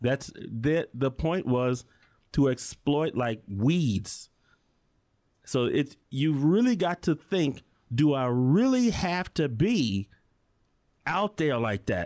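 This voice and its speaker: Over a very clean recording with a silent background, a man with an American accent speaks at a very slow pace and fairly high pitch, his pitch swinging very widely between long, frequent pauses. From Chicago. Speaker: electrician and musician. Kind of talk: casual chat.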